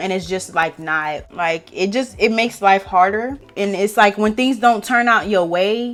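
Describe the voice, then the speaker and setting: Speaking at a fairly slow pace with hardly any pauses, a woman keeps a medium pitch with ordinary pitch variation. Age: 20s. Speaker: beauty vlogger. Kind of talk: casual chat. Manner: loud; laughs often.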